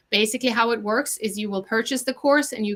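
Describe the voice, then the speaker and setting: A woman speaks with a high pitch and a bright, sharp tone. Her intonation stays fairly even. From Norway. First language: Norwegian. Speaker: chef and online cooking teacher. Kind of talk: sales pitch. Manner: casual with frequent fillers.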